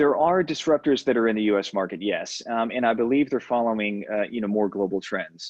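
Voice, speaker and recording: A plain, everyday voice from a man with an American accent, medium pitch and ordinary pitch variation, at a fairly quick pace with hardly any pauses. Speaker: payments executive. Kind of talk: podcast interview. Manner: many fillers (um, uh, you know).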